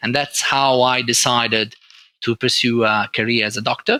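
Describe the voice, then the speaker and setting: A man with an Italian accent speaks at a moderate pace in a bright, sharp tone at medium pitch, with a dry, close sound and no echo. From northern Italy, Turin. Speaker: oncologist. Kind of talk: interview. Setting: podcast recording. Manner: halting.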